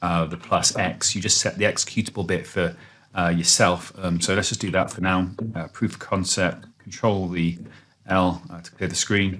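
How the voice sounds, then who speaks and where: A man speaks with a very deep, low pitch and fairly even intonation. His loudness swings widely. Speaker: programming tutor. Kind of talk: screen-recorded coding tutorial. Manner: fast; many fillers and false starts.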